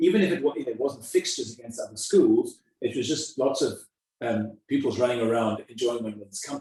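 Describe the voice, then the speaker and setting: A man with a South African accent talks at a fairly quick pace. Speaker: school headmaster. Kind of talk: interview. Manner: halting, many repetitions.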